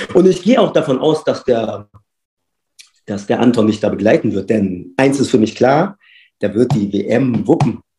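A man's somewhat breathy, dark, mellow voice at a medium pitch, with lively intonation and long, frequent pauses. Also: moderate pace. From Berlin, Germany. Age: 40s. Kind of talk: casual interview.

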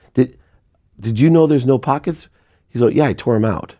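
A man's dark, mellow voice at medium pitch, with an American accent and ordinary pitch variation, on a very clean recording with a silent background. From Akron, Ohio. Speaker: entrepreneur. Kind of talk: casual chat.

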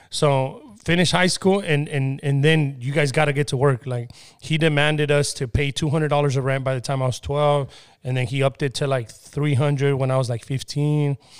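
A man's fairly high-pitched, unremarkable speaking voice, fairly quick in pace, with fairly even intonation. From Mexico (Michoacán), raised in US from age 5-6. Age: 30s. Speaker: entrepreneur. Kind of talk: casual interview.

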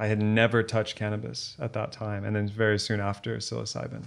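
Speaking with an American accent, this is a plain, everyday voice at a fairly quick pace. The intonation is fairly even and the background quiet. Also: man. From Texas. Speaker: coach and entrepreneur. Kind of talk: interview.

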